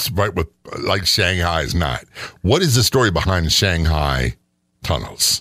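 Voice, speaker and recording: A man with a very deep, low pitch, vocal fry and a bright, sharp tone speaks at a fairly slow pace with long, frequent pauses. His intonation is lively while his loudness stays very even. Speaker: radio host and retired police sergeant. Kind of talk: casual podcast chat about hauntings.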